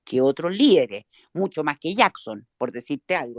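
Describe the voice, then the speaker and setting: A woman talks at a moderate pace. The recording is very clean and dry, with a silent background and a close sound without echo. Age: 60s. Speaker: politician. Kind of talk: interview.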